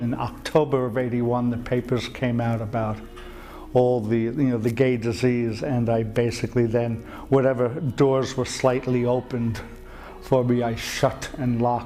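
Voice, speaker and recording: A man with an American accent speaks in a monotone, flat voice, with audible room echo and noticeable background noise. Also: medium pitch for a man, moderate pace. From New York. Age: 60s. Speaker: interviewee. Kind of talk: testimony.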